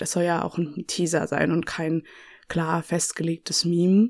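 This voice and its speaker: A woman's fairly low voice at a moderate pace, very clean recording, silent background. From Nuremberg, Franconia, Germany. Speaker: podcast host, museology student. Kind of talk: casual monologue. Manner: many fillers, hesitant.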